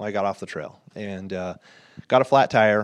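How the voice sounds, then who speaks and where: Against a quiet background, a man with an American accent speaks at a fairly low pitch. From North Idaho. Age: 50s. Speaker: nonprofit founder. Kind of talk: interview. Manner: halting, many fillers and repetitions.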